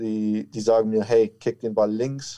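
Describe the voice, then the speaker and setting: A man speaks at a fairly slow pace and a medium pitch, his dark, mellow tone caught in a dry, close sound with no echo against a quiet background. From Franconia, Germany (near Nuremberg). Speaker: American football kicker. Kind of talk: interview.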